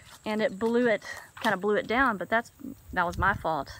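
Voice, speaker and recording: The sound is dry with no echo, with light background noise behind it. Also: woman. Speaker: camper reviewing gear. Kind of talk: casual vlog chat. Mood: upbeat, enthusiastic. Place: waterside. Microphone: phone near.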